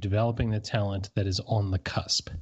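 Speaking at a fairly quick pace, a man has an American accent. His voice is somewhat breathy. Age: 30s. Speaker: baseball blogger. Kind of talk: casual podcast interview.

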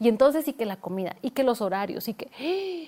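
A woman speaks in a fairly high-pitched voice. Her tone is dark and mellow. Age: 40s. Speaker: digital media expert and entrepreneur. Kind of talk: interview.

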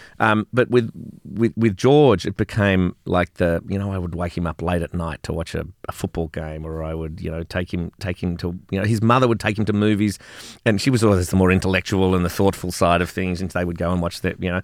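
Here a man talks with an Australian accent. His pitch is very deep and low, and his pace fairly quick. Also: ordinary pitch variation, dry, close sound with no echo. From Australia, Melbourne. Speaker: business founder. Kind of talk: casual chat. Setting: studio. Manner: animated.

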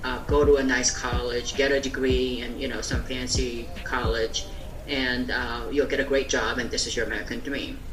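Moderate pace with noticeable background noise. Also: woman. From South Korea. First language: Korean. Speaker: marketing entrepreneur. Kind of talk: casual interview.

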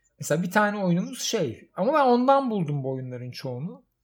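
High-pitched male voice at a moderate pace, with very wide pitch swings. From Istanbul, Turkey. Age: 40s. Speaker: podcast host. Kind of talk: casual chat.

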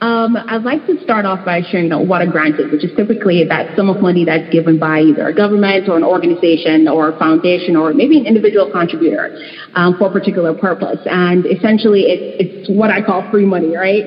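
With hardly any pauses and a very fast pace, a woman at medium pitch talks with ordinary pitch variation over noticeable background noise. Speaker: nonprofit leader. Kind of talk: panel discussion.

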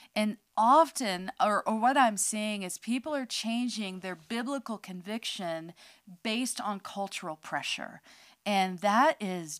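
In a very clean recording with a silent background and a dry, close sound with no echo, a woman with an unremarkable speaking voice talks at a fairly slow pace and a medium pitch, her intonation lively. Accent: American. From California, near San Francisco. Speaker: podcast co-host, ministry leader. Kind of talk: casual chat.

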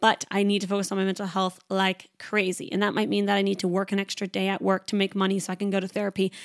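A woman talks at a very fast pace in an animated tone, her pitch medium. The recording is very clean and dry, close with no echo, and the background is silent. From Canada. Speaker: podcast host and trainee Pilates instructor. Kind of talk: casual solo chat. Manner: fast talker; animated, chatty.

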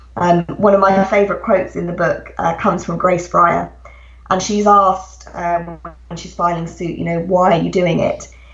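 With big swings in loudness, a woman talks at a moderate pace over noticeable background noise. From England. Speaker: author. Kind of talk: interview. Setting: home, remote call.

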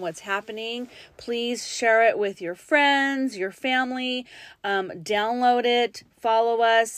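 Using a plain, everyday voice, a woman speaks at a fairly slow pace with a fairly high pitch and fairly even intonation. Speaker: podcast co-host, mother. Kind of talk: show outro; casual chat.

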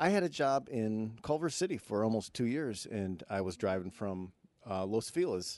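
A man with an American accent at medium pitch and a moderate pace, with very wide pitch swings over a quiet background. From Michigan. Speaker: comedian. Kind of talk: casual chat.

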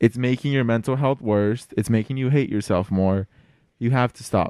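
A man's animated, medium-pitched voice at a fairly quick pace, with lively intonation, a dry, close sound with no echo, and a quiet background. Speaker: podcast host. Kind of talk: casual chat.

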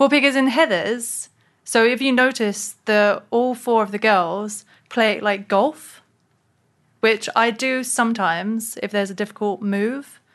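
A woman speaks with a London accent at a fairly slow pace, her pitch fairly high. Her pitch varies in an ordinary way over a quiet background. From London, England. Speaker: actress and comedian. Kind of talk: casual interview.

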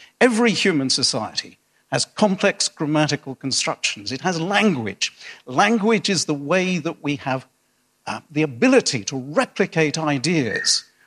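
With a British accent, a man speaks at a moderate pace in a fairly high voice with very wide pitch swings, on a very clean recording with a silent background and a dry, close sound with no echo. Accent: non-rhotic British English. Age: middle-aged. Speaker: newspaper columnist. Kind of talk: public debate. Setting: stage with audience.

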